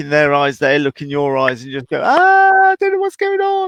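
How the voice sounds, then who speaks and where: With an English accent, a man speaks with ordinary pitch variation. The sound is dry and close, with no echo. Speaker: horse trainer. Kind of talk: live Q&A call-in chat.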